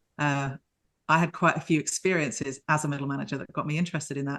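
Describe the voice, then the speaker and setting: A woman with a British accent speaks at a very fast pace. Her voice is very deep and low, over a quiet background. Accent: UK. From United Kingdom. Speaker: leadership mentor. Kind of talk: podcast interview.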